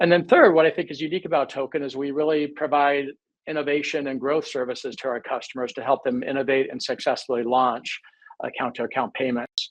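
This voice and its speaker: Talking at a very fast pace, a man with an American accent has a fairly high pitch and ordinary pitch variation. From United States. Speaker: fintech company CEO. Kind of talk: webinar panel discussion. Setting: online webinar.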